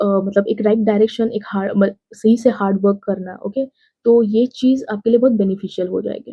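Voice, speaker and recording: A woman with a fairly high pitch speaks at a moderate pace. Her voice is somewhat breathy and her intonation monotone and flat. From India, Maharashtra. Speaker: exam aspirant vlogger. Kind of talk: casual tutorial. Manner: Hindi-English code-switching with fillers.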